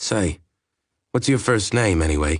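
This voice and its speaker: A man puts on a character voice that is raspy and very deep, with lively intonation. He talks at a moderate pace over a quiet background. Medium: read story. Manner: gentle, confident.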